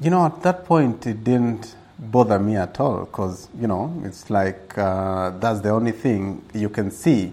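A man's fairly low, dark, mellow voice at a fairly slow pace, on a very clean recording with a silent background. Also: lively intonation. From Kenya, Gilgil near Nakuru. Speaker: safari tour operator. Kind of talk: interview. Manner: hesitant, many fillers.

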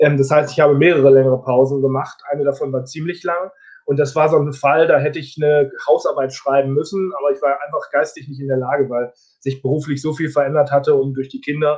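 The man's voice sits fairly high and sounds somewhat breathy. He talks at a very fast pace. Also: fairly even intonation. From northern Germany, Osnabrück area. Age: 30s. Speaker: distance learning graduate. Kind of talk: interview. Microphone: connection lag.

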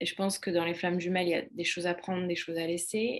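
This woman has a plain, everyday voice, fairly low in pitch, with fairly even intonation. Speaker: holistic coach and author. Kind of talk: casual chat.

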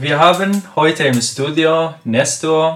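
A man with a Persian accent speaks at a fairly high pitch. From Iran. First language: Persian (speaking German). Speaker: podcast host. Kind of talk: casual discussion. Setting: studio.

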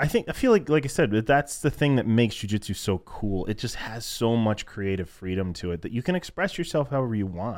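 A man with an unremarkable speaking voice at medium pitch and a fairly quick pace, on a very clean recording with a silent background. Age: 20s. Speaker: grappling podcast co-host. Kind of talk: casual chat. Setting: studio.

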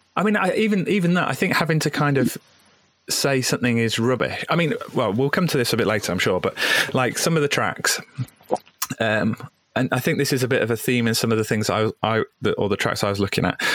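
A man talks at a moderate pace and a medium pitch. His pitch swings very widely. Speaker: podcast host. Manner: casual, hesitant.

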